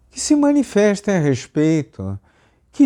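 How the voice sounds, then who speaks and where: A man is heard on a very clean recording with a silent background. The sound is dry and close, with no echo. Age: 80s+. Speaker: YouTube commentator. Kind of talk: opinion monologue.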